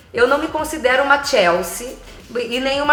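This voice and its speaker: A woman talks at a moderate speed. The recording carries noticeable noise in the background. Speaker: voice actor (dubbing) and actress. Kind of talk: interview answer.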